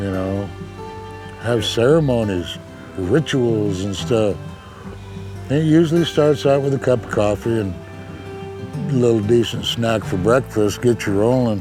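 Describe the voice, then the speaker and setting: A man with an American accent at medium pitch, fairly slow and lively in intonation, with long, frequent pauses and music in the background. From Lapwai, Idaho. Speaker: fisheries worker and fishing elder. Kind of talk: interview answer. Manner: casual, folksy.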